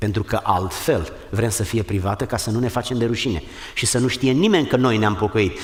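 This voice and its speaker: With noticeable background noise behind him, a man speaks at a medium pitch and a moderate pace. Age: 60s. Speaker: pastor. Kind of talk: sermon.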